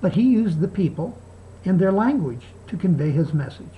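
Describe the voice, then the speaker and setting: A woman at a moderate pace with lively intonation. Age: 60s. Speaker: video blogger. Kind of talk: video response monologue. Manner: halting.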